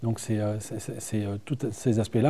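The man's voice has a dark, mellow tone. He talks at a moderate pace. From northern France, Seine-Maritime (Normandy); Normandy, France. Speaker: director of a regional tourism agency; guest. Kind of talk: TV studio interview. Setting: TV studio. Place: studio. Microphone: lapel.

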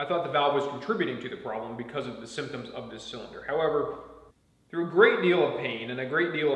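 A man talks at a fairly quick pace with ordinary pitch variation. Audible room echo surrounds his voice. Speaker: DIY tractor owner. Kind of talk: explanatory vlog talk. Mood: frustrated but calm. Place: garage. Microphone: camera far.

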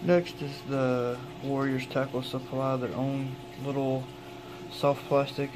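A man talks very slowly, with noticeable noise in the background. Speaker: fishing tackle reviewer. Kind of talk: product unboxing review. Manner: casual, with frequent hesitations.

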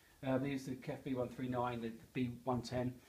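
A somewhat breathy man talks at a fairly quick pace. Light background noise can be heard. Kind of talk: casual product walk-round commentary. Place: shop. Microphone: phone near.

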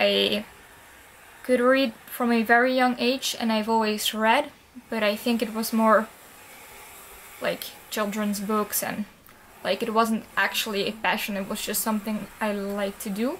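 A woman's fairly high voice with a non-native accent, fairly even intonation, a fairly slow pace and long, frequent pauses, over light background noise. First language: not English. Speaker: book vlogger. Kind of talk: casual talk to camera. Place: home room. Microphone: webcam.

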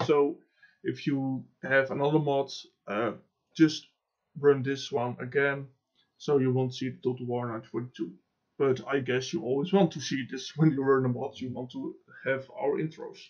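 A man with a Dutch accent speaks at a fairly slow pace and a medium pitch. His intonation is fairly even, with long, frequent pauses. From Netherlands. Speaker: gaming YouTuber and mod developer. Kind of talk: software tutorial. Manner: halting, with many fillers.

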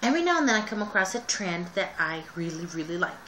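Light noise sits behind a woman as she talks. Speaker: vlogger. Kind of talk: casual vlog chat. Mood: relaxed, chatty. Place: home room. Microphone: webcam.

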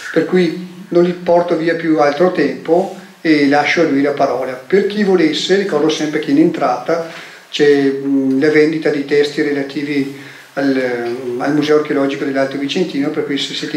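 A man at a fairly high pitch with fairly even intonation, in a room with audible echo and light background noise. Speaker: event organizer. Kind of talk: event introduction. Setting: stage with audience. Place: hall. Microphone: handheld.

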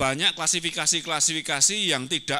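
There is a quiet background behind a man speaking in a bright, sharp tone. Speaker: agriculture professor; panelist. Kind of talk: academic presentation. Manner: halting, many fillers. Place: hall. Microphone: handheld.

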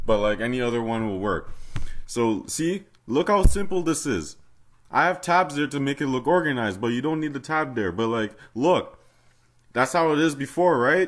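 A man talks at a moderate pace in a fairly high pitch with lively intonation. He has an ordinary speaking voice, on a very clean recording with a silent background. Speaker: fangame modding tutorial maker. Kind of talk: casual game tutorial commentary. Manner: casual, mildly exasperated.

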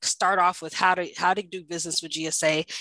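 A woman at a moderate pace, fairly low in pitch, with a bright, sharp tone and a dry sound with no echo against a quiet background. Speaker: government contracting director; presenter. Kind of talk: webinar presentation. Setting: video call. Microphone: video call.

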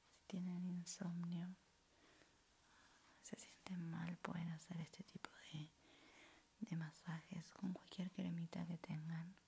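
Soft-spoken and somewhat breathy, a woman talks in a fairly low, monotone voice with flat intonation and long, frequent pauses over light background noise. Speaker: content creator. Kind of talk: soft-spoken ASMR self-care talk. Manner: soft-spoken, slow, calming voice. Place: home room. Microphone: studio mic.

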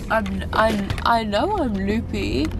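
Noticeable noise sits under the voice of a woman speaking. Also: dry sound with no echo. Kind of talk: casual vlog chat. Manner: groggy, slurred post-anesthesia speech.

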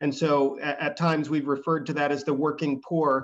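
This man's voice sits fairly high. His intonation stays monotone and flat. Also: quiet background. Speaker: economic development official. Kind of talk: presentation. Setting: video call. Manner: fast talker. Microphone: video call.

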